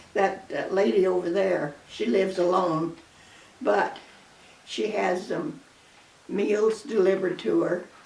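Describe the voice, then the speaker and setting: With audible room echo and noticeable background noise, a woman with an American accent speaks at a fairly slow pace, leaving long, frequent pauses, her intonation lively. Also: medium pitch for a woman. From US Midwest, Kansas. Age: 90s. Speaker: grandmother. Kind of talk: casual chat.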